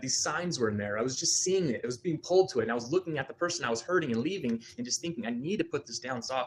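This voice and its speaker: A man talks at a very fast pace with ordinary pitch variation. Noticeable background noise runs underneath. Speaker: therapy client. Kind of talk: emotional personal testimony. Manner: halting, stammering; loud at times.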